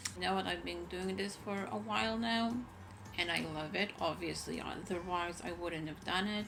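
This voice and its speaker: A woman with a fairly low pitch speaks at a moderate pace, with audible room echo and noticeable background noise. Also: lively intonation. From Israel. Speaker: content creator. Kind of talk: casual vlog. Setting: home, bedroom.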